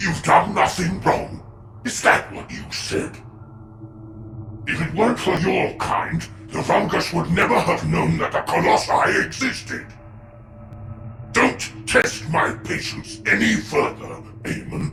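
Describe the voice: A man's put-on character voice, high-pitched, bright and sharp with vocal fry, at a slow pace with ordinary pitch variation over faint music in the background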